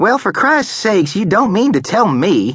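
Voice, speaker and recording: A man performs a put-on character voice, high-pitched with very wide pitch swings, keeping a moderate pace and very even loudness. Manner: mocking.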